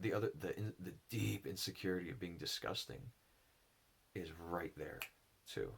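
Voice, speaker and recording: Ordinary pitch variation shapes the somewhat breathy speech of a man. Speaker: enneagram and spirituality teacher. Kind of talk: personal reflective monologue. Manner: halting; slow.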